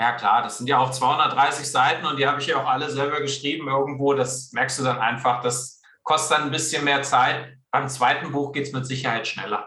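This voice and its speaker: With hardly any pauses, a man speaks at a moderate pace and a fairly high pitch in monotone, flat intonation. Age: 40s. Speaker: career and sales coach, author. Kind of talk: interview. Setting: video call.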